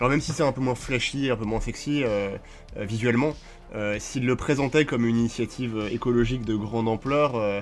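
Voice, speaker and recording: A man's medium-pitched voice, fairly even in intonation, at a fairly quick pace. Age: 20s. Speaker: professional card game player. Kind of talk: casual chat. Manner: halting, with frequent repeated words.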